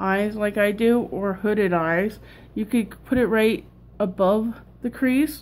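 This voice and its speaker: At a fairly slow pace, a somewhat breathy voice shows ordinary pitch variation. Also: woman. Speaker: makeup vlogger. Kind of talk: tutorial. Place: home room. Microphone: webcam.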